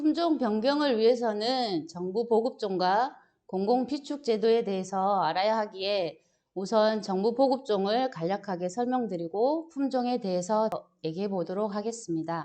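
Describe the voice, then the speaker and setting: A woman speaks at a fairly slow pace, her fairly high voice carrying lively intonation. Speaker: agricultural extension instructor. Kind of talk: lecture.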